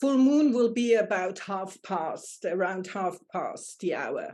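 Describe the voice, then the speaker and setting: The pace is very slow, with lively intonation and a dark, mellow tone. The speaker has a German accent. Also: woman. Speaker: astrologer and life coach. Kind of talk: casual chat.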